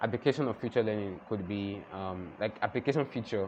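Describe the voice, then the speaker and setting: A man speaks at a fairly quick pace in a fairly low voice. Light background noise can be heard. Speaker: UX design student and YouTuber; YouTuber. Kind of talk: tutorial. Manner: fast; casual, filler-heavy.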